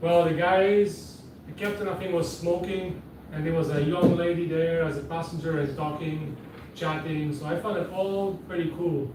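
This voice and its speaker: Audible room echo and noticeable background noise around speech of moderate tempo and fairly even intonation. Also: man. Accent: Quebec. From Quebec, Canada. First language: French (German at home). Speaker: seaplane pilot and business owner. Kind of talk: interview. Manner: casual.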